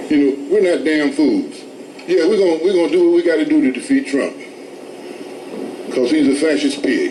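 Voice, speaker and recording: Very wide pitch swings and long, frequent pauses, with audible room echo and noticeable background noise. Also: man, high pitch for a man, very even loudness. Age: 70s. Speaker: protester, activist. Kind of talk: street protest speech. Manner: animated.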